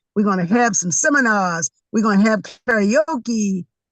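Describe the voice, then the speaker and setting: A somewhat breathy woman with an American accent, animated in tone, in a dry, close sound with no echo. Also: quiet background. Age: 60s. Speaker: community advocate and venue owner. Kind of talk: interview discussion.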